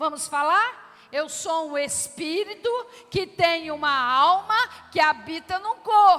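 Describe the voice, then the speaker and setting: At a very slow pace, a woman uses a raised, projected voice at an extremely high pitch with lively intonation. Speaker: pastor, church preacher. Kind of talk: sermon to a congregation. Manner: emphatic, preaching.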